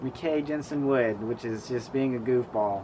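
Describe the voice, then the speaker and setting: A man's voice, showing ordinary pitch variation, comes through light background noise. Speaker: interviewee. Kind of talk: interview answer. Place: garden.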